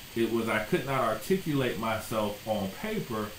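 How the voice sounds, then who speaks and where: With an American accent, a man talks at a fairly slow pace and medium pitch, his pitch varying in an ordinary way, while noticeable background noise and audible room echo fill the recording. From US South (South Florida). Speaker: educator, YouTuber. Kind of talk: casual talk to camera.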